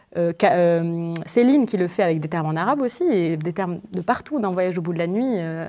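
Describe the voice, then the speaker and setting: Against a quiet background, a woman with a dark, mellow tone and fairly low pitch speaks at a moderate pace with ordinary pitch variation. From Morocco. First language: Moroccan Arabic (speaking French). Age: 20s. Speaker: novelist. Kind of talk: literary interview before students. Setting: university library event with audience. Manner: halting, many repetitions and fillers.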